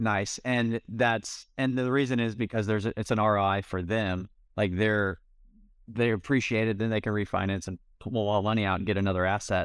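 At a fairly quick pace, a man with a fairly low-pitched, ordinary speaking voice talks with fairly even intonation. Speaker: podcast host and contractor. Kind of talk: interview, podcast host.

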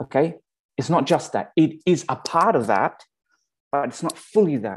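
With an Australian accent and lively intonation, a man speaks against a quiet background. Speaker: pastor. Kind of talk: sermon. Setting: virtual church service.

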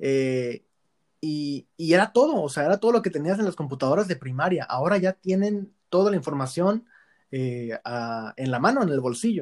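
On a very clean recording with a silent background and a dry, close sound free of echo, a man's fairly high voice swings very widely in pitch. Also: moderate pace. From Tijuana, Mexico. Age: 20s. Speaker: football blogger and lawyer. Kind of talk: casual chat.

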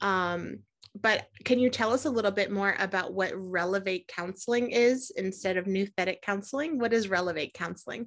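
A woman with a normal speaking voice, medium pitch, ordinary pitch variation and moderate pace against a quiet background. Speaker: podcast host. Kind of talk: podcast interview intro and chat.

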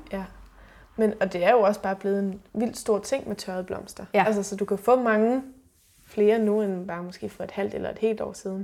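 Dark and mellow in tone, a woman speaks at medium pitch and a moderate pace with monotone, flat intonation. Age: 30s. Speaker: sustainability blogger. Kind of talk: casual interview. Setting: at host's home.

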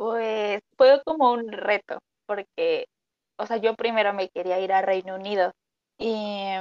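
The sound is dry and close, free of echo, and the intonation stays fairly even. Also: woman. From Mexico. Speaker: nutrition student. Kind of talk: casual chat.

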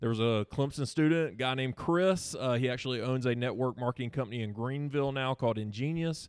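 With a Southern US accent, a man at medium pitch speaks at a very fast pace with ordinary pitch variation, in a very clean recording with a silent background. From South Carolina (Seneca). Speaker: nonprofit staff member. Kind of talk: casual interview.

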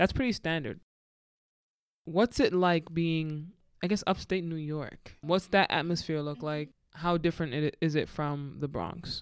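A man speaks in an ordinary speaking voice, fairly high in pitch with ordinary pitch variation. His pace is fairly slow. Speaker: podcast host. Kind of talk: casual chat.

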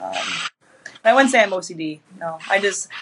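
Over noticeable background noise, a woman with a Michigan accent talks at a fairly quick pace and a medium pitch. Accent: Midwestern American (Michigan). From Metro Detroit, Michigan, US. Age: 20s. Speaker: fitness influencer and personal trainer. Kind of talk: casual interview chat. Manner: hesitant, many fillers.

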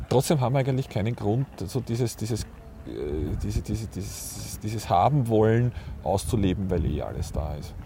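Lively intonation in a man's fairly low voice at a moderate pace. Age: 40s. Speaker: podcast host, photographer. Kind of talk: casual chat. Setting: outdoors on a park bench. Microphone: mobile mic without windscreen.

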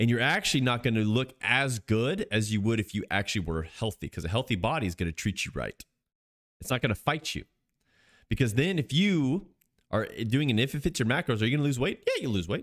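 Speech at a fairly quick pace with very wide pitch swings, on a very clean recording with a silent background and a dry, close sound free of echo. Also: man, medium pitch for a man. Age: 20s. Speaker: fitness podcast host. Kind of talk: solo podcast monologue. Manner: casual, with fillers and restarts.

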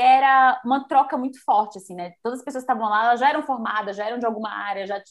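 A woman with a high voice talks very fast, her pitch varying in an ordinary way. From Bahia, Brazil. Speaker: fashion influencer and youtuber. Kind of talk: casual interview chat.

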